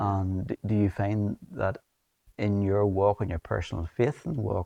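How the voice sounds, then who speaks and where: A man with a Northern Irish accent speaks at a fairly low pitch in a dark, mellow tone, at a moderate pace with fairly even intonation. The sound is dry and close with no echo, and the background is quiet. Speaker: TV presenter. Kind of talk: interview. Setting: church.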